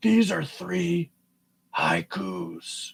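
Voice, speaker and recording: A man's put-on character voice, raspy and fairly high in pitch. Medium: solo performance.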